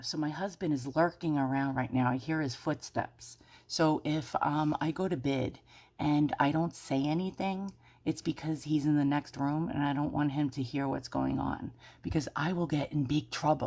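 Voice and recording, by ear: A raspy, whispering put-on character voice at a moderate pace. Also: woman.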